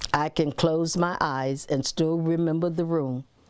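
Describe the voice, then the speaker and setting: In an American accent, a woman speaks at a very slow pace with a very deep, low pitch and monotone, flat intonation over noticeable background noise. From US South and Cleveland, Ohio. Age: 80s+. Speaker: interviewee, retired telephone operator. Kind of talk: personal testimony interview.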